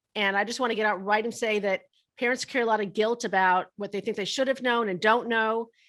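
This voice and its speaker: Over a silent background in a very clean recording, the voice races along at a very fast pace with an animated tone. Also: woman, fairly high pitch for a woman. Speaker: college funding consultant and speaker. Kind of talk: interview podcast.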